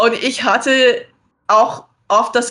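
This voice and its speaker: A woman speaks with an American accent. Her intonation is monotone and flat. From USA. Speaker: dating show contestant. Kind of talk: casual chat.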